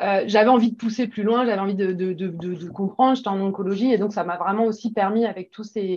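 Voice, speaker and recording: At a fairly quick pace with hardly any pauses, a woman talks at medium pitch with fairly even intonation. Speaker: pharmaceutical medical advisor. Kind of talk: interview. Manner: fast; hesitant, many fillers.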